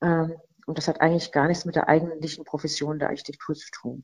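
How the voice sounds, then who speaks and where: A woman's very deep, low voice at a fairly quick pace with monotone, flat intonation. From Rhineland-Palatinate, near Mainz. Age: 50s. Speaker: architect. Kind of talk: interview. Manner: hesitant, many fillers.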